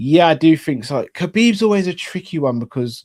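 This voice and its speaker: A man with a London accent speaks in a dark, mellow tone, his pitch swinging very widely, on a very clean recording with a silent background. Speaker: sports YouTube host. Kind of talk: live Q&A chat reading audience comments. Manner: casual, with many fillers and repetitions.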